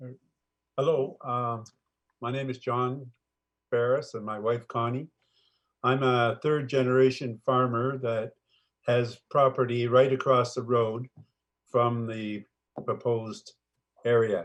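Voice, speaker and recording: A man speaks at a fairly slow pace in a monotone, flat delivery against a quiet background. He leaves long, frequent pauses, and his loudness swings widely. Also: medium pitch for a man. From Ontario, Canada. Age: 60s. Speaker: farmer. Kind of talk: public comment at council meeting. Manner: halting.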